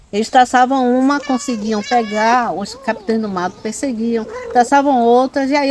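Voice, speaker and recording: Noticeable background noise sits behind a voice moving at a moderate tempo, its pitch shifting in an ordinary way. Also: woman. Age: 60s. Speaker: quilombo community leader and terreiro caretaker. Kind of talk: oral history interview. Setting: on location at a terreiro in the quilombo. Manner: hesitant, many fillers and repetitions.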